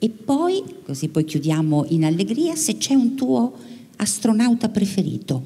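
Her pitch swings very widely. The woman speaks at a fairly slow pace. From Italy. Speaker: radio science journalist. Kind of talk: public interview on stage. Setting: theatre stage with audience. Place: stage. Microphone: handheld.

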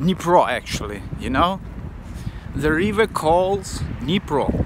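A man at a very slow pace, dry sound with no echo, noticeable background noise. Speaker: vlogger. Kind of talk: casual vlog chat. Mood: excited, enthusiastic. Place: street. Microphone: phone near.

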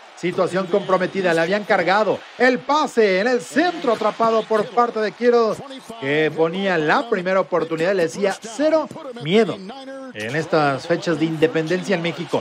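A man with a high pitch and an animated tone, lively intonation at a moderate pace, over noticeable background noise. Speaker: sports commentator. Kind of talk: live-style sports commentary over game highlights. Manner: animated, excitable play-by-play with exclamations.

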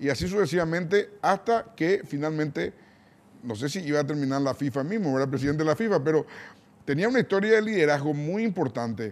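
A man talks fairly quickly, with lively intonation. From Paraguay. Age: 60s. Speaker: TV interview host. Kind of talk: interview. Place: studio. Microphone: lapel.

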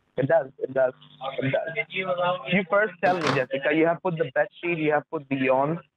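A man with a fairly high pitch talks at a moderate pace with ordinary pitch variation, the sound dry with no echo and the background noise noticeable. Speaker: phone scammer. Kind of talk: scam phone call. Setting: phone call. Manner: halting. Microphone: phone line.

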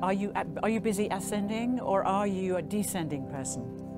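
A woman talks at a moderate pace while music plays clearly behind her. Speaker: speaker, voice teacher. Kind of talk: talk to a live audience. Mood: warm, playful, laughing. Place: tent. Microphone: handheld.

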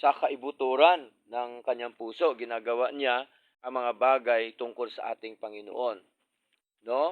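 With an ordinary speaking voice at medium pitch, a man talks at a fairly slow pace with fairly even intonation and big swings in loudness. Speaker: preacher. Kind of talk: sermon. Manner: formal; earnest.

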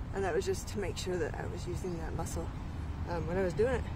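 The recording has a woman talking at a fairly quick pace, dry with no echo, against noticeable background noise. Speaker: fitness instructor. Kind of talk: casual workout tutorial chat. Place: open country. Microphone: phone near.

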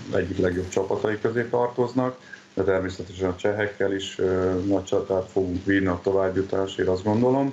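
A man's very deep, low voice with fairly even intonation over light background noise. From Hungary. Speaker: handball player; interviewee. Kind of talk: interview. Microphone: video call.

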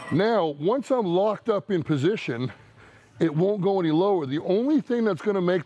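A man talks at a moderate pace. Faint music plays behind him. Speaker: powerlifting coach. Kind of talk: tutorial. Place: gym. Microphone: lapel.

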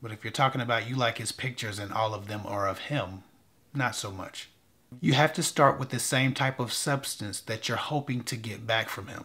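The tone is bright and sharp, delivered at a moderate pace. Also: man, ordinary pitch variation. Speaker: dating advice vlogger. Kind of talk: advice commentary to camera. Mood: relaxed, slightly wry. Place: studio.

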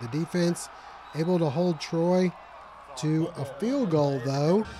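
A man speaks at a high pitch in an upbeat tone, with ordinary pitch variation. His pace is fairly slow, and there is noticeable background noise. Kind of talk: sports commentary. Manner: brisk, upbeat play-by-play delivery with rising excitement at big plays; clear, polished broadcaster narration.

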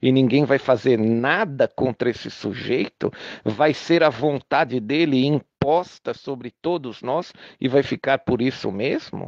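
A man speaks at a fairly slow pace in a Brazilian accent. The sound is dry and close with no echo, and the background is quiet. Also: medium pitch for a man, ordinary pitch variation. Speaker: political commentator recording an audio message. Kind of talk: angry political rant, audio message. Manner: indignant, sarcastic, hammering rhetorical questions; urgent, rallying, repetitive for emphasis.

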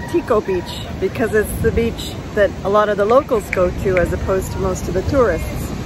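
Amid crowd noise in the background, a woman speaks at a moderate pace in a dry sound with no echo. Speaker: travel vlogger. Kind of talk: casual vlog chat. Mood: cheerful, enthusiastic. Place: beach. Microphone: phone near.

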